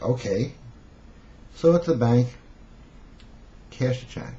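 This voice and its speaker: Speaking at a very fast pace, a man with a Brooklyn accent talks at a medium pitch. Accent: Brooklyn New York. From New York City (Brooklyn). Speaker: self-help seduction coach. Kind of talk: storytelling monologue. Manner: casual, conversational.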